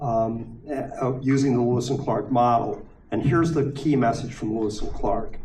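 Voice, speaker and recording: Audible room echo surrounds a man speaking at a moderate pace. His pitch is medium, his intonation fairly even. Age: 60s. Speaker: panel speaker. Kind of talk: panel discussion.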